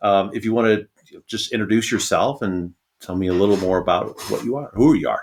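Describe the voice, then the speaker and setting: An ordinary speaking voice from a man, fairly low in pitch, at a fairly quick pace with ordinary pitch variation. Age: 50s. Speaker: podcast host and navy veteran. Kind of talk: casual interview.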